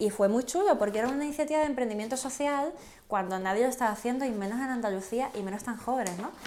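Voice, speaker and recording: Over noticeable background noise, the voice rushes at a very fast pace with ordinary pitch variation. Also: woman, high pitch for a woman. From southern Spain (Canary Islands and Andalusia). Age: 20s. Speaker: entrepreneur, association president. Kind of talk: casual interview.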